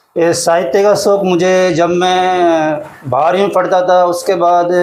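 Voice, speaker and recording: A high-pitched man amid audible room echo and noticeable background noise. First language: Hadoti (Rajasthani) (speaking Hindi). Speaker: poet and school teacher. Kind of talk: interview.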